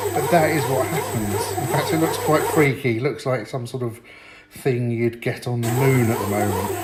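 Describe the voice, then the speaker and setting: A man's voice is heard with audible room echo and noticeable background noise. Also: moderate pace. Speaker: home cooking vlogger. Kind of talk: cooking tutorial. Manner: casual, chatty.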